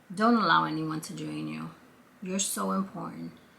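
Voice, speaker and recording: A woman with a Brooklyn accent, plus audible room echo and noticeable background noise. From Brooklyn, New York. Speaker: vlogger. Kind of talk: casual chat. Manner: conversational.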